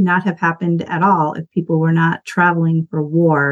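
A woman's normal speaking voice, medium in pitch, at a fairly slow pace. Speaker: podcast co-host. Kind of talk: casual chat. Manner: conversational, informal, chatty.

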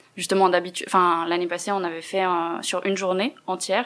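Her medium-pitched voice moves at a fairly quick pace, and this woman keeps a monotone, flat intonation. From Neuchâtel, Switzerland. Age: 20s. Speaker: feminist activist, translation student. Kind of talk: interview.

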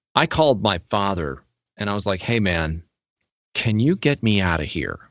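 A man with an American accent speaks at a fairly low pitch against a quiet background. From Pennsylvania. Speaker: voiceover artist and drummer. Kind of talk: casual interview chat. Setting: video call.

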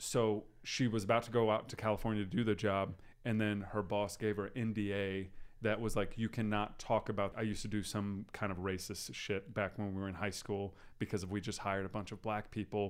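The recording is very clean with a silent background. A man in a normal speaking voice talks fairly quickly at a fairly low pitch with fairly even intonation. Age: 30s. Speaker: podcast host. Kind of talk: casual chat.

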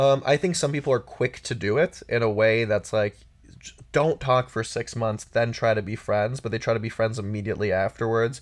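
With a quiet background, a man at a medium pitch talks in a plain, everyday voice with ordinary pitch variation. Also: moderate pace. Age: 30s. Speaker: sex columnist and author. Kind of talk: casual chat.

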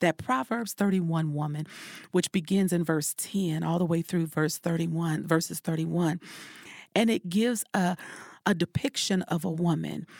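In an ordinary speaking voice with very even loudness, ordinary pitch variation and a moderate pace, the speech sounds dry and close with no echo, on a very clean recording with a silent background. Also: woman, fairly low pitch for a woman. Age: 40s. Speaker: life coach and speaker. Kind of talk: casual chat.

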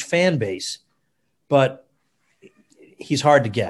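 Lively intonation marks this man's somewhat breathy, fairly high voice. He talks at a fairly slow pace. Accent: American. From US. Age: 40s. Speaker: historian and libertarian commentator. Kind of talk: podcast interview.

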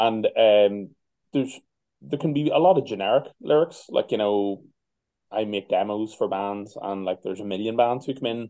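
With a Northern Irish accent, a man speaks at a moderate pace and a fairly low pitch. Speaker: metal band musician. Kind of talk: interview. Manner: casual.

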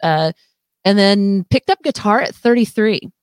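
Recorded very cleanly against a silent background, a woman with a normal speaking voice talks at a medium pitch with lively intonation in a dry, close sound with no echo. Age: 50s. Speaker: rock musician. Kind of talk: casual chat. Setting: studio.

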